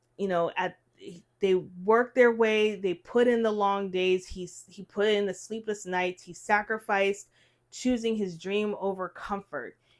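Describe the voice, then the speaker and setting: On a very clean recording with a silent background, a woman with an unremarkable speaking voice at medium pitch speaks fairly slowly with fairly even intonation and big swings in loudness. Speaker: podcast co-host. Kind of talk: casual chat.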